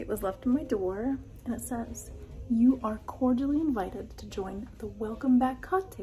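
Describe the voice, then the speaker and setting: A woman at a fairly slow pace, with light background noise. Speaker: travel vlogger. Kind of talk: casual vlog chat. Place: hall. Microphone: phone near.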